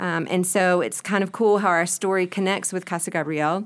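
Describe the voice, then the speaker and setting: Moderate-paced speech from a woman with a Southern US accent. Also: very clean recording, silent background. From US South, Spartanburg, South Carolina. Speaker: missionary and ministry partner. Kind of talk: interview.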